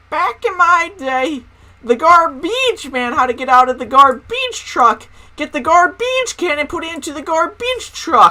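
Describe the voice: In a put-on character voice pitched extremely high, a woman delivers her lines at a moderate pace.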